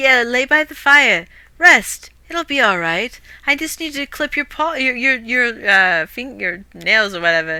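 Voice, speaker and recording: The very wide pitch swings of this put-on character voice come at a moderate pace. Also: woman, high pitch for a woman. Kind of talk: casual streamer storytelling. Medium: game stream. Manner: nonchalant, cocky.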